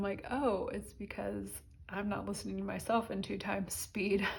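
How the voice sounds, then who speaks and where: A somewhat breathy woman at medium pitch and a moderate pace, with audible room echo. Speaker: budgeting vlogger. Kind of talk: casual chat.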